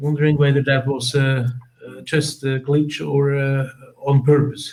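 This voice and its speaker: Speaking at a fairly slow pace, a man with a fairly high pitch keeps a monotone, flat intonation while his loudness swings widely. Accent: Swiss. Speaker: conference attendee asking questions. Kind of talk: audience question. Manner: halting. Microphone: poor sound quality.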